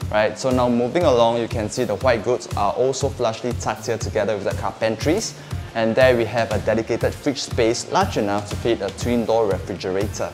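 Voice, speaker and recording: A man at a fairly quick pace with hardly any pauses, ordinary pitch variation, and clear music in the background. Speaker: property tour host. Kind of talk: property walkthrough presentation. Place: home room.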